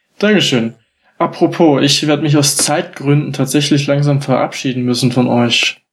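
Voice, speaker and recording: A man with a normal speaking voice talks at a moderate pace and a fairly high pitch. His loudness is very even and his intonation fairly even. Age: 20s. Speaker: church youth delegate. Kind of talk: casual chat.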